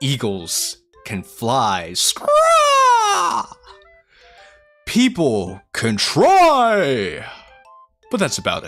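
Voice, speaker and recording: A man uses a put-on character voice at a very slow pace with long, frequent pauses. Faint music plays in the background. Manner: proud, declamatory.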